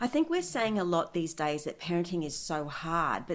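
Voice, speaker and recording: At a moderate pace, speech comes in an unremarkable speaking voice. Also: woman. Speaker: parenting expert and author, guest speaker. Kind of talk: interview answer. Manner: warm, measured, articulate.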